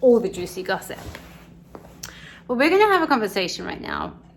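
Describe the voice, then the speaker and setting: A woman's speech carries audible room echo, and noticeable background noise is present. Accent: American. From England, London area (Cockney). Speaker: expat vlogger. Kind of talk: casual chat. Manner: animated.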